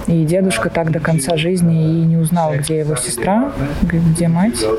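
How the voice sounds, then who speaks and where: Over noticeable background noise, a woman talks at a moderate pace and fairly low pitch with ordinary pitch variation. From Moscow, Russia. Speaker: designer and psychologist. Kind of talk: interview.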